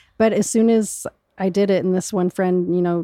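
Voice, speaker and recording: A woman with an American accent speaks very fast at a fairly low pitch, her tone dark and mellow. Her intonation stays fairly even, and the recording is very clean and dry, close with no echo, over a silent background. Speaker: cancer survivor. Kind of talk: casual interview chat.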